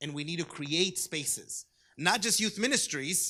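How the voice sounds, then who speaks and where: On a very clean recording with a silent background, a man with a Spanish accent speaks at a high pitch in a bright, sharp tone with lively intonation. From US West Coast, Orange County, California. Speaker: diocesan youth ministry director. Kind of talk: conference talk.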